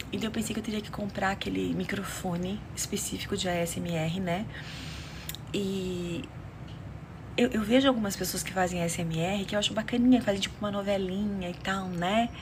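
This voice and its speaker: A soft-spoken woman whispers amid noticeable background noise and audible room echo. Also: moderate pace. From Romania. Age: 50s. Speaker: beauty youtuber. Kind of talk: casual livestream chat while doing makeup. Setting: live stream. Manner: soft-spoken, near whisper.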